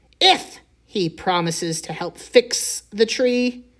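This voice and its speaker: A woman's put-on character voice with very wide pitch swings. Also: fairly high pitch for a woman, fairly slow pace. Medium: read story. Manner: brisk.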